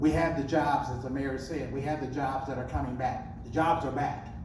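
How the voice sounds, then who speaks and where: A man with an American accent talks at a moderate pace and medium pitch, his intonation fairly even, over noticeable background noise and audible room echo. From US Midwest, Decatur, Illinois. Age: 70s. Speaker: city council member. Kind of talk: candidate forum answer.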